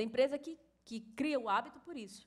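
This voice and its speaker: A woman speaks in a Bahian accent with a high pitch. Her pace is moderate, with ordinary pitch variation. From Bahia, Brazil. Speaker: course instructor. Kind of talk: lecture.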